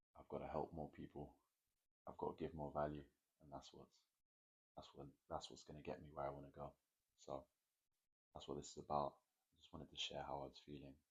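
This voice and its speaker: A man with a very deep, low pitch and vocal fry speaks at a very fast pace in a monotone, flat intonation. His loudness swings widely, and he leaves long, frequent pauses. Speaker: fitness vlogger and mentor. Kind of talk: late-night vlog monologue.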